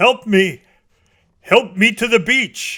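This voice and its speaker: Putting on a character voice, a man speaks in a high pitch with ordinary pitch variation. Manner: gasping, desperate.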